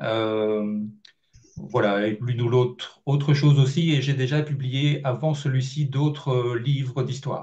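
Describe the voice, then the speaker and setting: At a fairly slow pace, a man talks in a medium pitch with fairly even intonation, his dark, mellow tone somewhat breathy. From Belgium. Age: 50s. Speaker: journalist and author. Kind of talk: interview. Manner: hesitant, many fillers.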